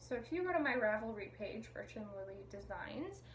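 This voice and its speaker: A woman speaks in a room with audible echo. Noticeable background noise runs under her voice. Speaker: knitting podcaster and pattern designer. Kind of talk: casual video podcast chat. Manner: fast. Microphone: sound issues.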